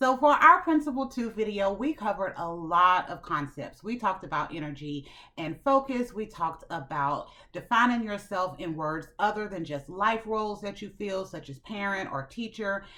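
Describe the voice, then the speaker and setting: Bright and sharp in tone, a woman with a medium pitch speaks at a moderate pace with an animated tone, very wide pitch swings, and big swings in loudness, in a very clean recording with a silent background. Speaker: self-improvement channel host. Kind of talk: motivational talk to camera.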